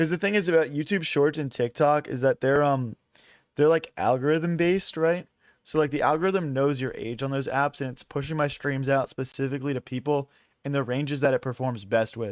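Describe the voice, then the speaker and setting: A man with an American accent talks at a fairly quick pace, fairly high in pitch with ordinary pitch variation. The sound is dry and close with no echo, and it is a normal speaking voice. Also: very clean recording, silent background. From US Northeast, Philadelphia. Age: 20s. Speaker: chess streamer. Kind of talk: live stream commentary. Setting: live stream. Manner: casual, filler-heavy.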